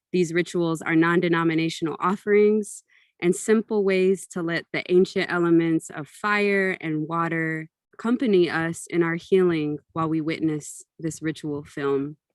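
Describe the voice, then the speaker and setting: A woman's fairly low voice at a moderate pace with fairly even intonation, in a dry, close sound with no echo on a very clean recording with a silent background. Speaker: ritual facilitator and film presenter. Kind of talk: guided ritual introduction.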